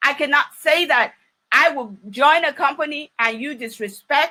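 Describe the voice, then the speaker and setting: With a Nigerian accent, a woman speaks in a raised, projected voice that is high-pitched, bright and sharp, with lively intonation. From Nigeria, Ondo City. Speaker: business trainer. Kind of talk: training talk. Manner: animated.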